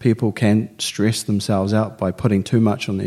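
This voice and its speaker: Music plays behind a man with a fairly low pitch. He speaks at a moderate pace with fairly even intonation. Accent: New Zealand. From New Zealand. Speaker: business student. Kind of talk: interview.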